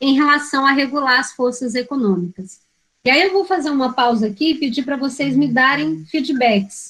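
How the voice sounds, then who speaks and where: A woman projects her voice in a high pitch with a bright, sharp tone. Her pace is moderate and her pitch varies an ordinary amount. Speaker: teacher educator. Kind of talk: lecture.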